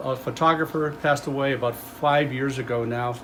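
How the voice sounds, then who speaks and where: A man with a medium pitch and fairly even intonation is heard through noticeable background noise and audible room echo. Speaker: museum volunteer and presenter. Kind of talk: public talk. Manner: fast; hesitant with fillers.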